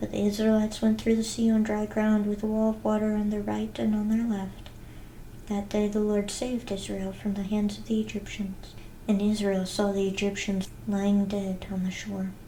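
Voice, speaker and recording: A soft-spoken woman with a calm, dark, mellow tone and a somewhat breathy voice talks at a moderate pace and medium pitch with monotone, flat intonation. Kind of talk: soft-spoken scripture reading; ASMR reading. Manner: soft-spoken, calm.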